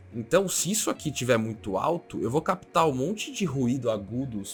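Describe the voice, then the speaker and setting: A man talks with lively intonation while music plays in the background. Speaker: streamer and tech tutorial youtuber. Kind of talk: tutorial.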